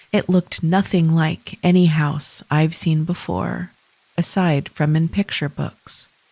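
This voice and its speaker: Somewhat breathy and dark, mellow in tone, a woman talks at a fairly slow pace. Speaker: podcast host. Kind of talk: scary story reading.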